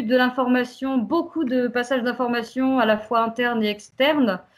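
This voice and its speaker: A woman's high-pitched voice comes through on a very clean recording with a silent background. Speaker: community association worker. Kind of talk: prepared talk on community radio. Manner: hesitant, many fillers.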